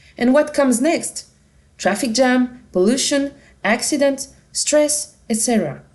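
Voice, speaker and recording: A woman speaks at a moderate pace with a French accent. Her tone is dark and mellow. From France. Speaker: company representative presenting a product. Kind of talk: product presentation.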